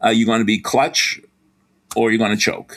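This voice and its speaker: A man speaks with a Boston accent. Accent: Boston accent, somewhat. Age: 70s. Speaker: sports psychology professor. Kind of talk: interview.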